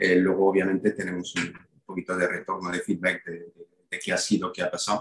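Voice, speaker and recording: With a very deep, low pitch and monotone, flat intonation, a man speaks at a fairly quick pace with big swings in loudness. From Belgium, then Málaga from age 18. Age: 50s. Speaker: sales director and personal branding mentor. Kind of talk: interview. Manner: halting, frequent repetitions.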